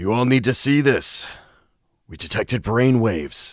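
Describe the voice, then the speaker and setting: A man's raspy, put-on character voice in a very clean recording with a silent background. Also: medium pitch for a man, moderate pace. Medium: virtual streamer.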